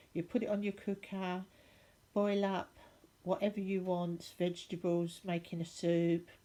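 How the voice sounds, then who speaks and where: A woman with an English accent speaks at a fairly slow pace in a dark, mellow tone with monotone, flat intonation. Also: medium pitch for a woman. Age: 60s. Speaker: crafter / DIY vlogger. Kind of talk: tutorial. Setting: at home, lounge floor. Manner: casual, hesitant with fillers.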